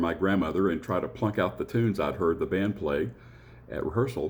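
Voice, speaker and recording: This man has a very deep, low voice with a Southern US accent, speaking at a fairly quick pace with ordinary pitch variation. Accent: Southern twang. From US South, Appalachian North Alabama. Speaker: church musician and choir director. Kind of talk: personal introduction talk. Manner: hesitant, many fillers.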